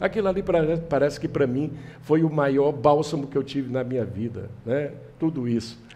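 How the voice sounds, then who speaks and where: A fairly high-pitched man with a dark, mellow tone, at a moderate pace with ordinary pitch variation. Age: 70s. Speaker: political candidate. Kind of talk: interview.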